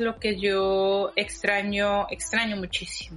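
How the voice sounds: Speaking slowly, a woman uses a medium pitch and a bright, sharp tone.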